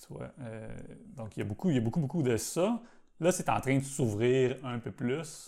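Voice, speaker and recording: With a dark, mellow tone and vocal fry, a man of medium pitch speaks at a moderate pace with lively intonation, big swings in loudness, and long, frequent pauses. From Quebec, south shore of Montreal. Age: 40s. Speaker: botanical garden bonsai curator. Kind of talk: casual interview.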